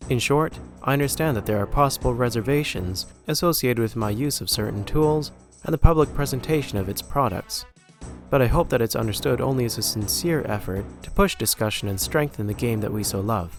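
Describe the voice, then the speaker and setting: A man speaks with a medium pitch and lively intonation at a fairly quick pace. Music plays in the background. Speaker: game map designer. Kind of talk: scripted video essay narration.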